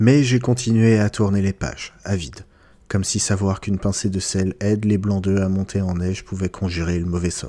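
At a moderate pace, a man speaks with a dark, mellow tone, fairly low pitch and fairly even intonation. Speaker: book podcast host. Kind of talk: literary audiobook reading of a novel excerpt, in first person. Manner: measured, expressive narration.

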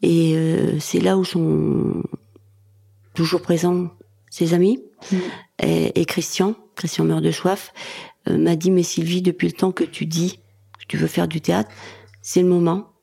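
Long, frequent pauses fill this woman's very slow speech. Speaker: comedian. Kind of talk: interview.

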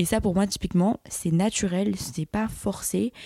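In a dark, mellow tone, a woman speaks at a fairly slow pace with fairly even intonation, recorded very cleanly over a silent background with a dry, close sound and no echo. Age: young. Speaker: podcast host and social media creator. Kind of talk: casual solo monologue.

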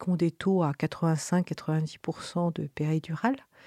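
On a very clean recording with a silent background, a woman speaks at a very slow pace in a dark, mellow tone. The sound is dry and close with no echo, and her intonation stays fairly even. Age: 60s. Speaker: midwife. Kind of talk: interview testimony. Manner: halting.

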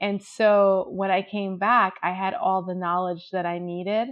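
A woman with an American accent, a normal speaking voice and a medium pitch, at a fairly slow pace. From Jamaica, then New York. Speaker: fashion editor and blogger. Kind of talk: interview.

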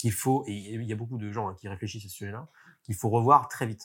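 On a very clean recording with a silent background, a man with a somewhat breathy voice speaks at a medium pitch. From France. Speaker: marketing agency executive. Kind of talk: interview. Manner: hesitant, many fillers.

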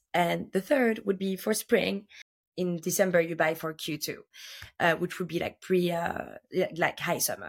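With a plain, everyday voice, a woman talks at a moderate pace, fairly low in pitch and fairly even in intonation, in a very clean recording with a silent background. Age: 30s. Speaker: fashion buyer. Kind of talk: interview.

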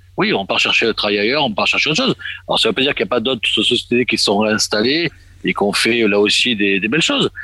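Bright and sharp in tone, a man's medium-pitched voice moves at a fairly quick pace with lively intonation. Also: very even loudness. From Marseille, southern France. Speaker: expatriate association official. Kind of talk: radio discussion.

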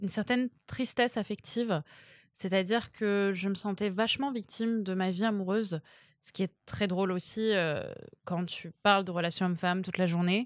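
Very clean and set against a silent background, the recording captures a woman with a normal speaking voice. She keeps a moderate pace, medium pitch and fairly even intonation. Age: 20s. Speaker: dating coach. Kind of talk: casual chat.

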